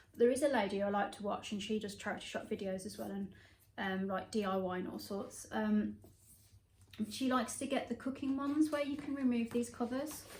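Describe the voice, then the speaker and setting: Fairly fast speech from a woman, somewhat breathy. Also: fairly high pitch for a woman, ordinary pitch variation. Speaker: thrifting vlogger. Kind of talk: casual haul vlog. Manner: casual, hesitant with fillers.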